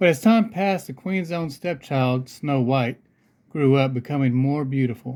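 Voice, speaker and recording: A normal speaking voice from a man, fairly high in pitch, with ordinary pitch variation at a moderate pace. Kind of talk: children's storybook read-aloud.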